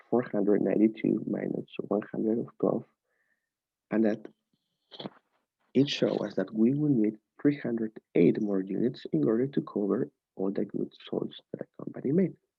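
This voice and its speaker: With a non-native accent, a man talks at a moderate pace, leaving long, frequent pauses. His pitch is fairly low, with ordinary variation. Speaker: student. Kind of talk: tutorial. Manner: halting.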